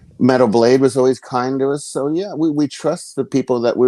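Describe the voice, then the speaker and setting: A man with an American accent speaks at medium pitch in a dark, mellow tone. His pace is moderate and his pitch variation ordinary. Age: 50s. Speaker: metal guitarist. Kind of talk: interview. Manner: repetitive stammering.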